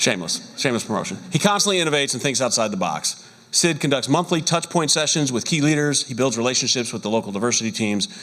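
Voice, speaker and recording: Over noticeable background noise, a man with an American accent races along at a very fast pace and a fairly high pitch, with very wide pitch swings and hardly any pauses. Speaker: awards show emcee. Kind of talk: awards presentation.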